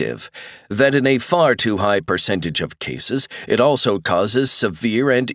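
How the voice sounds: A natural reading voice carries ordinary pitch variation throughout.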